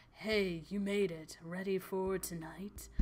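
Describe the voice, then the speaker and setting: A woman speaks fairly slowly in a put-on character voice, medium in pitch and monotone, flat in intonation. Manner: suave.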